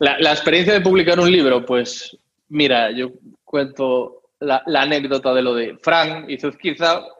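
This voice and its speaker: A man with an ordinary speaking voice talks at a fairly slow pace, pitched fairly high. His pitch variation is ordinary, while his loudness swings a lot. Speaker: podcaster and interviewer. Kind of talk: interview. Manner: casual, frequent swearing and repetitions.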